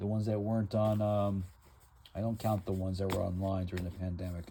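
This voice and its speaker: A fairly low-pitched, somewhat breathy male voice with a dark, mellow tone. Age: 60s. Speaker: comic book collector vlogger. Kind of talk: casual monologue showing collection. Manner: halting, many fillers.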